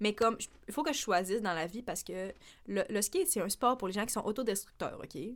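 Speaking with a Quebec accent, a woman uses fairly high pitch and lively intonation. Her pace is fairly quick. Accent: Québécois French. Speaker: podcast co-host. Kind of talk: casual chat. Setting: studio.

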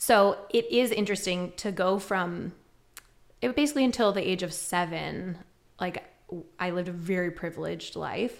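A woman with an American accent at medium pitch, moderate pace and ordinary pitch variation, with vocal fry and long, frequent pauses. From New York, Westchester. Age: 30s. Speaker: entrepreneur and coach. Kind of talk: casual chat.

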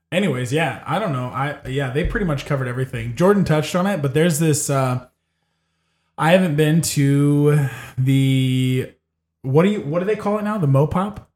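A somewhat breathy man at a fairly high pitch, moderate pace and ordinary pitch variation. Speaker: podcast host. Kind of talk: casual chat. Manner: joking, profane.

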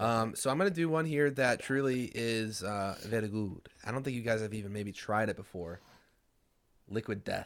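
A normal speaking voice with ordinary pitch variation keeps a moderate pace on a very clean recording with a silent background. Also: man, medium pitch for a man. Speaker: podcast host. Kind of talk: casual banter. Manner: joking, laughs a lot.

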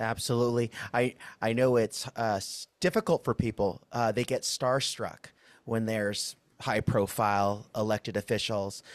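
At a moderate pace and medium pitch, a man speaks in an ordinary speaking voice with fairly even intonation, the sound dry and close with no echo in a very clean recording with a silent background. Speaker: labor podcast host. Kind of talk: interview.

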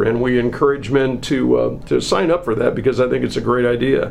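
A man's voice is heard against noticeable background noise. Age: 60s. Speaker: hospital marketing director, podcast host. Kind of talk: casual health chat.

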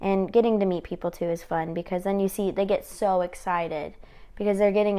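The delivery is monotone and flat, set against a quiet background. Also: woman. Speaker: realtor. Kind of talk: casual chat.

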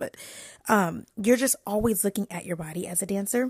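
A woman with an American accent speaks at a moderate pace in an animated tone, with ordinary pitch variation. The recording is very clean, with a silent background and a dry, close sound with no echo. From New York and the DMV (Washington DC area). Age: 20s. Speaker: podcast host and lifestyle influencer. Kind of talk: casual solo chat. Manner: animated, chatty.

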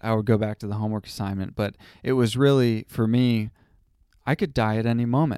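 A man speaks in an unremarkable speaking voice at a medium pitch with fairly even intonation. The recording is very clean and dry, with a silent background and no echo. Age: 20s. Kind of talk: casual chat.

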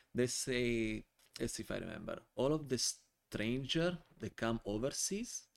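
Speaking at a fairly slow pace, a man with a medium pitch and an Italian accent uses ordinary pitch variation. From Italy (born Calabria, raised near Milan). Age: 40s. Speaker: wine importer. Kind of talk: casual interview. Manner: animated.

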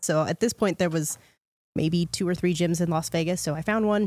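A woman with a normal speaking voice talks at a moderate pace in a fairly low pitch, her intonation fairly even, on a very clean recording with a silent background. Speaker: fitness coach. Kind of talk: casual chat.

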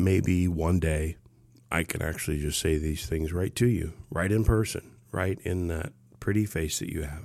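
A man with an American accent has a very deep, low pitch and ordinary pitch variation. He keeps a moderate pace in a very clean recording with a silent background. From Ohio, small town. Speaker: army veteran, personal podcaster. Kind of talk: personal monologue. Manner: halting.

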